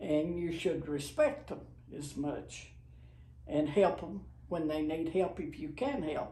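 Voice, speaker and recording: A woman's dark, mellow voice with vocal fry, lively intonation and a fairly slow pace, in audible room echo. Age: 80s+. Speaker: grandmother sharing life advice. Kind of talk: casual chat.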